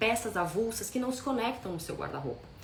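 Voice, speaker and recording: A woman's fairly quick, lively-pitched voice, with audible room echo and noticeable background noise. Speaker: style consultant. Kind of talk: live stream talk. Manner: fast.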